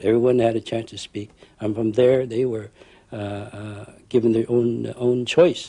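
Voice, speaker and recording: At a moderate pace, a man with a medium pitch and a dark, mellow tone speaks in a monotone, flat way, his loudness swinging widely. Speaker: war veteran. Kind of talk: testimony. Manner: halting.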